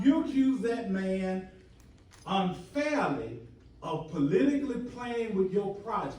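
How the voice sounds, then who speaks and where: A man speaks at a fairly slow pace in a high voice, his pitch swinging very widely, with audible room echo. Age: 70s. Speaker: resident speaking at council meeting. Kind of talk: heated debate. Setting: council meeting.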